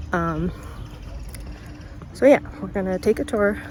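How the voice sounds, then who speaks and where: A woman speaks over noticeable background noise. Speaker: book vlogger. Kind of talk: casual vlog. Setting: outdoors. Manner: casual, filler-heavy.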